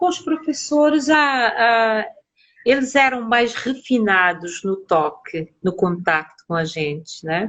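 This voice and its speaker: Very slow in pace, a woman's fairly high voice moves through very wide pitch swings. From Cape Verde. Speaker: psychologist. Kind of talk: interview.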